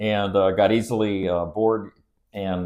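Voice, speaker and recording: A man with an American accent speaks at a moderate pace in a very deep, low pitch and a dark, mellow tone. The recording is very clean, with a silent background. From Southern California. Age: 70s. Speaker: county official. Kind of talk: podcast interview. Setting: podcast studio. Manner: casual, with hesitations.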